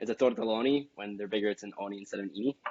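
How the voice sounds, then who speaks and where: A man talking at a very fast pace. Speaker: cooking class instructor. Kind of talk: tutorial. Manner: casual, hesitant with many fillers.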